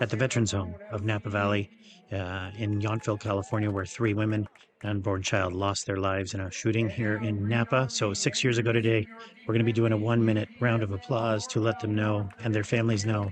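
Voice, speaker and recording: A man's fairly low voice at a fairly quick pace, fairly even in intonation, over noticeable background noise. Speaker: soccer livestream commentator. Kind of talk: live commentary. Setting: stadium livestream. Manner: halting, many fillers.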